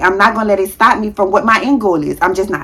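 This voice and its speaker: Noticeable background noise fills the clip. Through it comes a woman's voice. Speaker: nurse and content creator. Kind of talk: casual vlog monologue. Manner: fast; occasionally stumbles over words.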